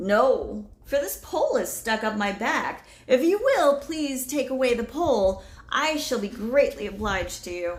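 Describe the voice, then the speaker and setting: A woman puts on a husky character voice with a high pitch. She keeps a moderate pace with hardly any pauses. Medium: read story. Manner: friendly, polite.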